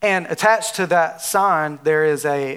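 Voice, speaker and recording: A man with a Southern US accent speaks in a fairly high pitch. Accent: Southern drawl. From Alabama. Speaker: preacher. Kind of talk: sermon. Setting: church with audience. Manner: animated.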